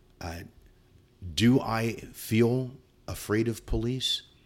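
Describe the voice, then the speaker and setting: A man speaks in an American accent. The recording is very clean, with a silent background. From Southern California, San Bernardino area. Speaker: school principal and educator. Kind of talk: interview. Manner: halting.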